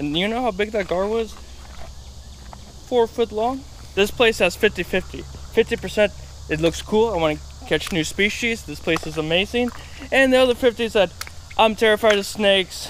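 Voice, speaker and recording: A man speaks at a moderate pace with long, frequent pauses, the sound dry with no echo and light background noise. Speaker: outdoor explorer vlogger. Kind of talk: casual vlog chat. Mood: startled then excited. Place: waterside. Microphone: phone near.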